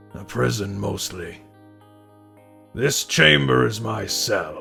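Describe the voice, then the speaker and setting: Against clear background music, a man does a raspy put-on character voice, fairly low in pitch, very slow, and with very wide pitch swings. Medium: read story. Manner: terse, weary.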